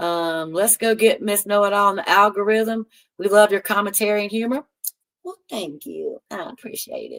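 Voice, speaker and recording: A woman with a Southern US accent speaks at a moderate pace and medium pitch, her loudness swinging widely, in a dry, close recording with no echo. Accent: country Southern US. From North Carolina. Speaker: live streamer. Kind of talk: casual chat. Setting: live stream reading chat. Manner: animated.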